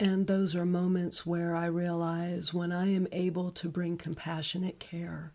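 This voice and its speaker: A woman with an American accent, fairly low pitch, monotone, flat intonation, a fairly slow pace and hardly any pauses. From Northeast Ohio, US. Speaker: hospital chaplain. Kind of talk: radio interview. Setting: studio.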